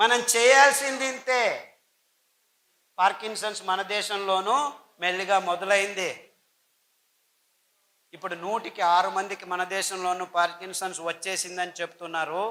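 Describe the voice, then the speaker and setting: A man speaks in a raised, projected voice with a bright, sharp tone and a high pitch. His pitch variation is ordinary. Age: 60s. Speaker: health speaker. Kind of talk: public speech. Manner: emphatic.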